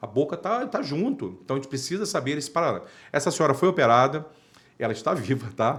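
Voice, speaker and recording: A somewhat breathy man's voice, fairly high in pitch, with very wide pitch swings, an animated tone and a fairly quick pace. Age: 50s. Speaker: dental surgeon. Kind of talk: interview.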